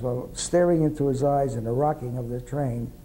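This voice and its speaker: A man with a New York accent talks at a moderate pace. His pitch is fairly high and his intonation fairly even. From New York City, Upper East Side. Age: 80s+. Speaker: World War II veteran. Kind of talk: oral history interview.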